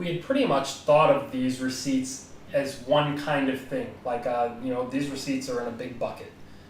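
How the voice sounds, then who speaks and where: A man's medium-pitched, monotone, flat voice with an American accent, moderate pace, hardly any pauses and noticeable background noise. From United States. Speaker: podcast co-host, blockchain developer. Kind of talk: technical explanation in a podcast. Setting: live-streamed podcast.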